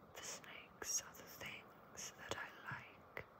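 The voice is whispering in a gentle tone. It moves at a very slow pace. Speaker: ASMR reader. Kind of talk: ASMR children's book reading to help sleep. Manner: gentle whispering, soft.

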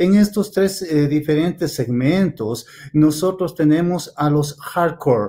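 Speaking very slowly, a man with a fairly high pitch and a dark, mellow tone keeps his loudness very even, with ordinary pitch variation. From Ecuador. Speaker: field biologist. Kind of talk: conference presentation. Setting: video call. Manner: halting, many fillers.

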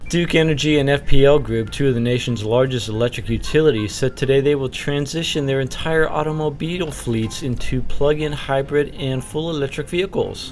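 At a fairly quick pace and with hardly any pauses, a man talks in a fairly high pitch with ordinary pitch variation. Noticeable background noise sits behind him. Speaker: business news presenter. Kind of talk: business news read. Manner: brisk, professional, occasionally wry.

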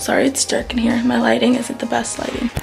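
A woman speaks as faint music plays in the background. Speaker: vlogger. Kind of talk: casual vlog chat. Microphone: phone near.

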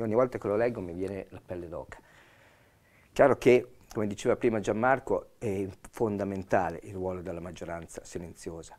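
A man with an unremarkable speaking voice talks at a fairly quick pace and a fairly low pitch. His pitch varies in an ordinary way while his loudness swings widely. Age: 60s. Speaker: police officer. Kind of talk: expert explanation on TV panel. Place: studio. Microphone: lapel.

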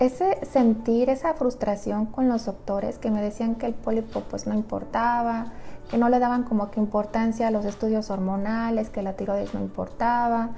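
A woman speaks at a moderate pace with a fairly high pitch. Light background noise sits behind her. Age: 30s. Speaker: nutritionist. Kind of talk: personal story vlog. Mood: reflective personal story. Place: home room. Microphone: lapel.

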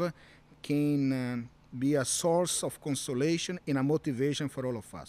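The speaker is a man with a Brazilian accent. His voice is fairly high-pitched. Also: dry sound with no echo. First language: Portuguese. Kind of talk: interview. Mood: earnest, warm. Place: garden. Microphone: studio mic.

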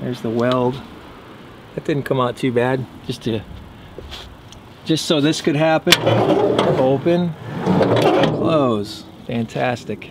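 Fairly slow speech with ordinary pitch variation and long, frequent pauses, a dry sound without echo, and noticeable background noise. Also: man. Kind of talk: casual vlog chat. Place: garden. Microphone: phone near.

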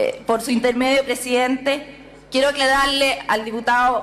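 A woman with a high-pitched voice talks at a fairly slow pace with ordinary pitch variation over light background noise. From Chile. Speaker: member of parliament. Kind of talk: parliamentary speech. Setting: parliament chamber. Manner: formal. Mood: earnest, political argument. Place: hall. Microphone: podium.

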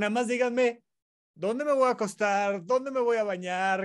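A man speaks with a Mexican accent against a quiet background. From Mexico. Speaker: psychiatrist podcast co-host. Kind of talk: casual chat. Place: office. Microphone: earbuds.

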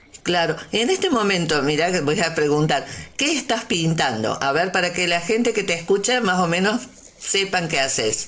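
Amid audible room echo and noticeable background noise, a woman with a fairly low pitch speaks at a moderate pace, her loudness very even and her pitch swinging very widely. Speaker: community radio host. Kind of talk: interview.

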